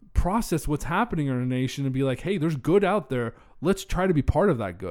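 A man with a fairly high pitch and lively intonation at a fairly quick pace, an unremarkable speaking voice, in a very clean recording with a silent background. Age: 20s. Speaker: podcast host. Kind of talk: casual chat.

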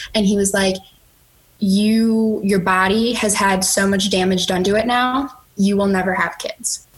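Over noticeable background noise, a woman with an American accent talks at a fairly slow pace, her medium pitch carrying fairly even intonation and very even loudness. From Chicago. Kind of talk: testimony.

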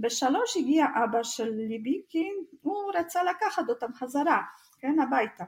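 At a fairly slow pace, a woman with a non-native accent speaks at a high pitch with very wide pitch swings. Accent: foreign accent in Hebrew. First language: not Hebrew (speaking Hebrew). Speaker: true crime podcast co-host. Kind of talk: casual storytelling chat.

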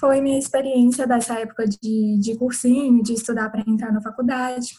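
Fairly even intonation marks this speech, delivered at a moderate pace. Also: woman. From Minas Gerais, Brazil. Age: 20s. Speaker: medical student. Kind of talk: online panel Q&A.

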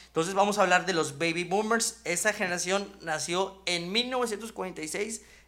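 A man with a high pitch and a bright, sharp tone uses a raised, projected voice, talking fairly slowly with fairly even intonation and hardly any pauses. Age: 30s. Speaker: podcast host. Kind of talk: casual chat.

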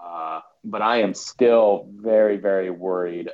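A man is speaking. He has an Upper Midwest accent. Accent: Upper Midwest American. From South Dakota, US. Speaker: soccer fan commentator. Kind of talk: casual chat.

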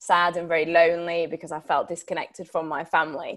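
A woman with a Yorkshire accent and a fairly low pitch, on a very clean recording with a silent background. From Sheffield, Yorkshire. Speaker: TV broadcaster and campaigner. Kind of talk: guest talk with Q&A.

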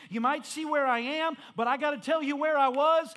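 A bright, sharp, animated tone at a moderate pace with ordinary pitch variation. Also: man. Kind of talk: sermon. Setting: church with congregation. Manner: animated, call-and-response preaching with rising fervor.

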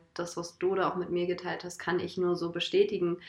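A woman talks in a medium pitch, keeping a moderate pace. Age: 20s. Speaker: holistic coach and trainee alternative practitioner. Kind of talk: casual conversation.

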